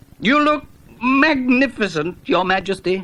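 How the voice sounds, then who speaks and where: Mumbling in a put-on character voice, the speaker keeps a fairly high pitch and a moderate pace. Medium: read story. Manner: nervous, mumbling.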